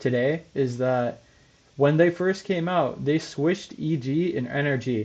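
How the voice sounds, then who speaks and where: With a fairly high pitch and ordinary pitch variation, a man speaks at a fairly slow pace. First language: not English. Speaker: esports podcast host. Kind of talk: casual chat. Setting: livestream.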